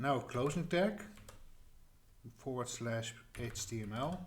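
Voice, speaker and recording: A man speaks very slowly in a medium-pitched, somewhat breathy voice. His intonation is lively, with a slight Dutch accent. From Netherlands. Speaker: tutorial creator. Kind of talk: tutorial. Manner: halting, many fillers and restarts.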